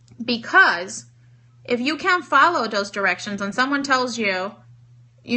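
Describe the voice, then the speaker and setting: Lively intonation carries the speech over noticeable background noise. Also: woman. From Cuba. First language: Spanish. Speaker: network marketing trainer. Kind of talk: live-stream training with Q&A.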